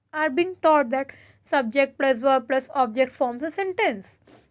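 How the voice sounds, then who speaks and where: A woman's high-pitched voice with an Indian accent, fairly slow and with ordinary pitch variation. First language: Hindi. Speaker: teacher. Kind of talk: lecture. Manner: code-switches between English and Hindi.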